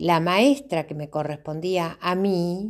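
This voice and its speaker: A woman speaks at a medium pitch in a Uruguayan accent. The recording is very clean, with a silent background. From Uruguay, rural Tacuarembó. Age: 60s. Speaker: memoir narrator. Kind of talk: personal storytelling.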